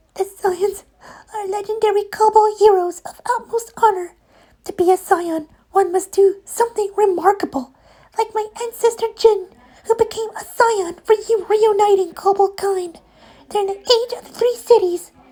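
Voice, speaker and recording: This is a put-on character voice, squeaky and extremely high in pitch. It moves at a moderate pace. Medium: read story.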